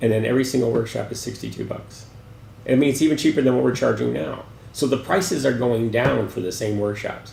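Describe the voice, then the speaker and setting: The speech races at a very fast pace with lively intonation and audible room echo. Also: man, medium pitch for a man. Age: 60s. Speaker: gallery director. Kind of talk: interview. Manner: halting.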